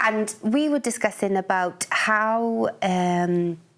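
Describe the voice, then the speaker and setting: A woman speaks with a Welsh accent. Her pitch varies in an ordinary way. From Wales. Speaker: poet. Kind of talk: radio interview. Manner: halting.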